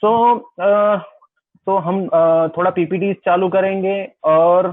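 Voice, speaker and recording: A man speaks with a Gujarati accent. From Gujarat, India. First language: Gujarati (speaking Hindi). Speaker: wedding photographer and workshop presenter. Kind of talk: webinar lecture. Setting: video call webinar. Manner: simple, sober delivery.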